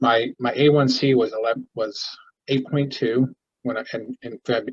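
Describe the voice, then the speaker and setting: In a flat monotone, a somewhat breathy man with a medium pitch speaks, the sound dry and close with no echo. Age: 60s. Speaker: support group member sharing health story. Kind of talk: testimony. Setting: video call. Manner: halting, many false starts.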